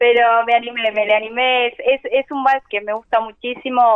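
With an ordinary speaking voice, a woman talks at a fairly slow pace, her fairly high pitch moving in fairly even intonation. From Argentina, Buenos Aires conurbano. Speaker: singer. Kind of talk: interview.

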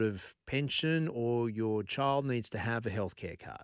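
A man with an Australian accent, medium pitch, fairly even intonation, and a fairly slow pace. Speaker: radio host. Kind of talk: talk radio. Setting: studio.

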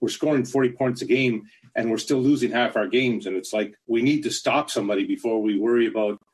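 In an ordinary speaking voice, a man talks at a fairly quick pace with a medium pitch, ordinary pitch variation and hardly any pauses. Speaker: caller, football fan. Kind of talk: call-in question.

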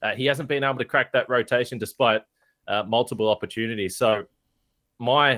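On a very clean recording with a silent background and a dry, close sound with no echo, a man with an Australian accent speaks at a fairly quick pace and medium pitch, his tone bright and sharp and his intonation fairly even. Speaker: basketball podcast host. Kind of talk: casual chat.

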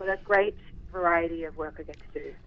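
With an Australian accent, a husky voice moves at a fast pace with fairly even intonation. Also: woman, fairly low pitch for a woman.

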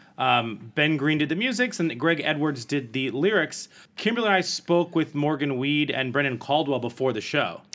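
With a normal speaking voice, a man talks at a moderate pace and fairly high pitch, his intonation lively. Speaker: podcast host. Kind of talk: casual chat. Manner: jokey, bantering.

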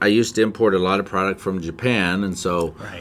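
Speaking with an American accent, this man has a very deep, low pitch. His pitch varies in an ordinary way. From Montana, US. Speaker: forex trading educator. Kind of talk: casual chat.

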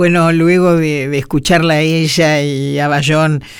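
Very slowly, a woman speaks in a very deep, low pitch. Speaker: radio host. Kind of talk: radio program presentation.

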